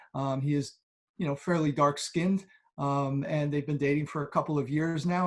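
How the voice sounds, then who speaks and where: A man speaks at a moderate pace, his voice somewhat breathy and fairly high-pitched. The recording is very clean with a silent background. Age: middle-aged. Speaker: church member. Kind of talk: interview. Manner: halting.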